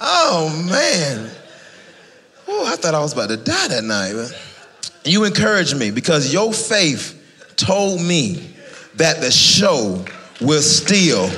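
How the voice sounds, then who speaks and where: Speaking very slowly with an American accent, a man leaves long, frequent pauses and swings his pitch very widely. Noticeable background noise runs under the clip. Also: fairly high pitch for a man. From Fayetteville, North Carolina. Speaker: stand-up comedian. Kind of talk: live stand-up comedy set. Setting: live audience in church.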